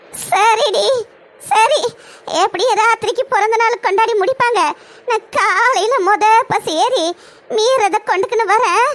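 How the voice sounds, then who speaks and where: A woman puts on a cartoonish character voice at an extremely high pitch, speaking at a very slow pace with very even loudness. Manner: dry, sarcastic.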